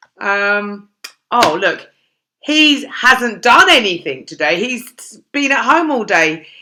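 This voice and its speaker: In a British accent, a woman talks at a very slow pace with a fairly high pitch. Her bright, sharp tone carries very wide pitch swings. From London, England. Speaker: English teacher. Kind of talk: online English grammar lesson. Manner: casual, chatty.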